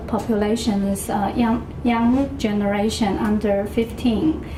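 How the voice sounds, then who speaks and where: Speaking in a Taiwanese accent, a woman with a fairly high pitch moves at a fairly slow pace amid audible room echo and noticeable background noise. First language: Mandarin or Taiwanese. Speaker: public health official. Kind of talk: lecture. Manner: halting, many fillers and repetitions.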